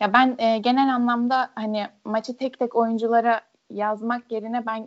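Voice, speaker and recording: A woman with a plain, everyday voice speaks at a fairly slow pace and a fairly high pitch. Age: 20s. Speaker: football commentator. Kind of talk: casual chat. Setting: podcast recording.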